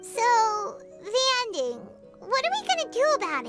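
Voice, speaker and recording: In a put-on character voice that is squeaky and extremely high-pitched, the speaker talks at a moderate pace over loud music in the background. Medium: video game. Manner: lively, inquisitive.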